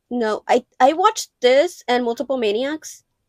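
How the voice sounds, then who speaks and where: A woman with a Mexican accent speaks at a high pitch with lively intonation. The sound is dry and close with no echo, in a very clean recording with a silent background. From Mexico. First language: Spanish. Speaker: film collector vlogger. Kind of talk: casual vlog show-and-tell. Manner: casual, filler-heavy.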